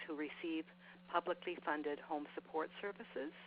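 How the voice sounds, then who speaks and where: A woman talks at a moderate pace in a fairly low voice with ordinary pitch variation. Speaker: health program presenter. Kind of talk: webinar presentation. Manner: loud. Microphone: cutting in and out.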